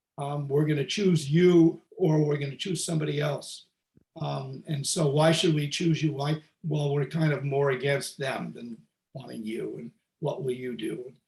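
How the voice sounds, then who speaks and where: A man with a fairly high, somewhat breathy voice speaks at a moderate pace with fairly even intonation. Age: 70s. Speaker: mediator. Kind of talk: interactive talk. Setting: video call. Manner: halting.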